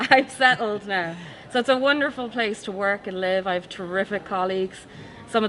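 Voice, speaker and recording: A woman with an Irish accent talks at a fairly quick pace over noticeable background noise. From Ireland. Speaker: forensic science professor. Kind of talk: interview.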